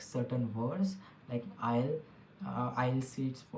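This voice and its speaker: A man with an Indian accent, medium pitch, and moderate pace amid noticeable background noise. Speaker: tech podcast host. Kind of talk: solo podcast monologue. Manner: halting, many fillers and restarts.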